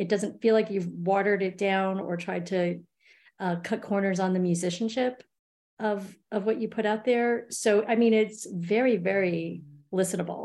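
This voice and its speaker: A woman with a New York accent and a dark, mellow tone talks at medium pitch and a moderate pace with fairly even intonation. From New York City. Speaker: podcast co-host. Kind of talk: casual chat.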